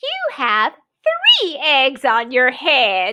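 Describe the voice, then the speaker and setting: Putting on a character voice, a woman speaks at a high pitch. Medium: read story.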